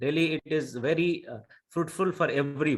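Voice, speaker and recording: A man speaks in a Bihari accent at a moderate pace. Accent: Indian English, Bihari. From India, Bihar. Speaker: Indian community organizer. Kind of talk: panel discussion. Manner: halting, many fillers.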